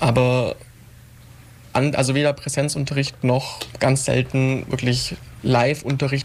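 Flat and monotone, a man speaks at a medium pitch against noticeable background noise. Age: 20s. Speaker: young politician and student. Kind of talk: radio panel discussion.

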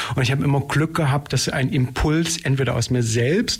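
A somewhat breathy, fairly high male voice with ordinary pitch variation. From East Germany (Saxony). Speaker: dance theatre director and choreographer. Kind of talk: radio interview.

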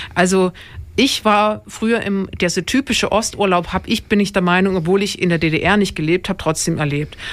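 A woman speaks with a plain, everyday voice at a medium pitch and a fairly quick pace. Her loudness stays very even, with ordinary pitch variation. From Dresden, Saxony. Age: young. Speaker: radio podcast host. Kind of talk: casual radio discussion. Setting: radio studio.

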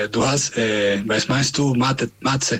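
Male speaker with a Spanish accent. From Venezuela. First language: Spanish (speaking German). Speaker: community radio host. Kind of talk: casual radio chat; interview. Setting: remote connection. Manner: halting.

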